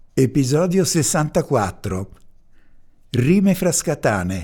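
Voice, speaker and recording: In a very clean recording with a silent background, a man with a fairly high pitch and a dark, mellow tone makes very wide pitch swings. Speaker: podcast announcer. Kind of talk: scripted introduction reading.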